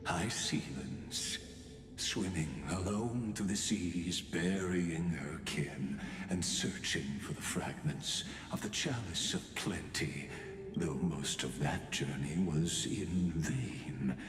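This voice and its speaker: A man's put-on character voice, very deep and low, at a very slow pace, with slight echo and clear background noise. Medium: virtual streamer. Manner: measured, somber.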